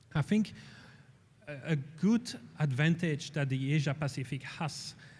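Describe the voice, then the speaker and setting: A man with a European accent speaks at a fairly slow pace in a somewhat breathy voice. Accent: European accent, noticeable. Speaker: space industry executive. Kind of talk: panel discussion. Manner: halting, many fillers and repetitions.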